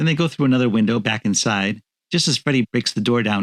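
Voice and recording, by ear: Reading aloud in a natural voice, with lively intonation over a quiet background.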